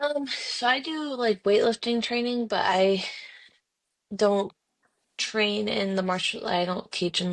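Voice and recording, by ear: A woman's voice with vocal fry, at a fairly slow pace.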